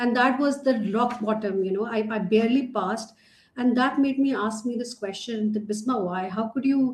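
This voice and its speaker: A woman with a Pakistani accent talks at a moderate pace, her fairly high voice showing ordinary pitch variation. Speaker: learning and development trainer, nonprofit co-founder. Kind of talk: casual interview conversation.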